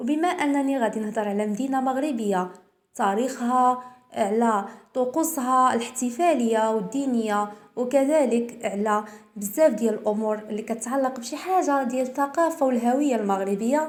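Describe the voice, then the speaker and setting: A woman with a Moroccan accent speaks at a moderate pace and a high pitch. Her pitch variation is ordinary, and audible room echo is present. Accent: Moroccan Arabic (Darija). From Morocco. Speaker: YouTube presenter. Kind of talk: presenting a cultural talk.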